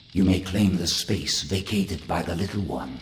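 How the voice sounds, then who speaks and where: A man puts on a character voice, pitched very deep and low. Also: moderate pace. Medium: video game. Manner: imperious, formal.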